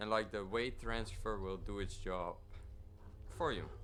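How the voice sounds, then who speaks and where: Music plays in the background as a man with a non-native accent speaks with ordinary pitch variation. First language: not English. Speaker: sim racing gamer. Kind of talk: tutorial. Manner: halting.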